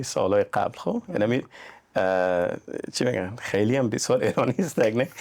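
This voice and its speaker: A man talks at a moderate pace with very even loudness. Noticeable background noise is heard behind him. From Iran, Afghan family from Mazar-i-Sharif. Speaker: real estate agent. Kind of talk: podcast interview.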